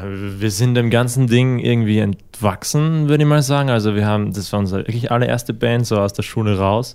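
In a plain, everyday voice, a man talks at a fairly quick pace at a medium pitch with ordinary pitch variation. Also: hardly any pauses. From Austria, Styria. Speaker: musician. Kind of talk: interview. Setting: studio.

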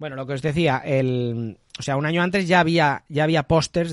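In a dry, close recording with no echo, a man with a fairly high pitch speaks in an animated tone with ordinary pitch variation. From Spain, Valencia region (Gandia). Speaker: podcast host. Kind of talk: casual chat.

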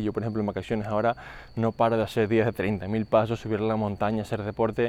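The man's dark, mellow tone comes at medium pitch and a fairly quick pace. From Canary Islands. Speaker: fitness coach and podcast host. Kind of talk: podcast monologue. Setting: outdoors, walking on the street.

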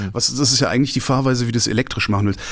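This man speaks with ordinary pitch variation amid noticeable background noise. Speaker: podcast guest. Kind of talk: casual chat. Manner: animated ranting.

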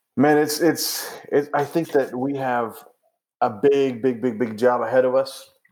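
A plain, everyday voice from a man, medium in pitch, with fairly even intonation at a fairly slow pace. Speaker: missionary and podcast co-host. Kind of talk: casual conversation. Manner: conversational, laughing.

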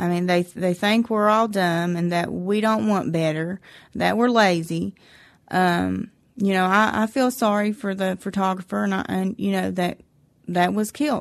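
Over a quiet background, a woman speaks in an Appalachian accent. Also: medium pitch for a woman, ordinary pitch variation, moderate pace. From West Virginia, McDowell County. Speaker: Appalachian resident sharing her experience. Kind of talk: interview, personal testimony.

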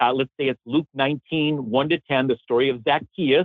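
A man with an American accent speaks in an unremarkable speaking voice, pitched fairly high, with fairly even intonation and a moderate pace. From US Midwest, Chicago. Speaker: theology professor, author. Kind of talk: interview.

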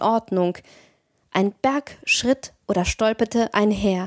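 A woman with an unremarkable speaking voice talks at a fairly slow pace and medium pitch with ordinary pitch variation, in a very clean recording with a silent background and a dry, close sound with no echo. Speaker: podcast host and audiobook narrator. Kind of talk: horror audiobook narration, reading aloud a Lovecraft story.

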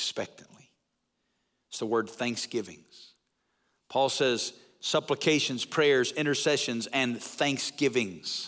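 A man speaks with a Southern US accent at a very slow pace, his pitch medium with ordinary variation and long, frequent pauses. The recording is very clean, with a silent background. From US South, North Alabama. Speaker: pastor and church-planting network leader. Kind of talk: sermon. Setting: church. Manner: animated.

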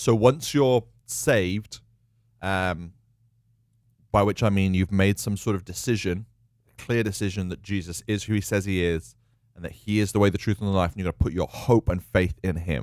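A man with a British accent speaks at a moderate pace in a fairly low voice, with ordinary pitch variation and long, frequent pauses. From UK. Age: 30s. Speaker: church leader. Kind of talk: casual chat.

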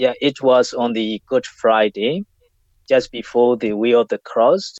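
Speaking with a Burmese accent, a man keeps a fairly slow pace and fairly even intonation. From Myanmar. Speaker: community leader. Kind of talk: interview. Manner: halting.

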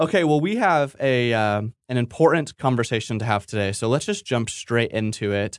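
A man's normal speaking voice at a medium pitch and moderate pace, with lively intonation, hardly any pauses, a quiet background and a dry, close sound with no echo. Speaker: guest host of theology podcast. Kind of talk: interview discussion.

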